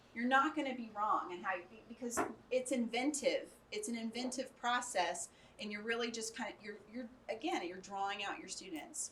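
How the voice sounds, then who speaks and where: A woman with an American accent speaks at a moderate pace in a high pitch with a bright, sharp tone. Her intonation is lively, and the room echo is audible. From Arkansas, US South. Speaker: educator, conference speaker. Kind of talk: workshop lecture with audience discussion. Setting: conference room with live audience.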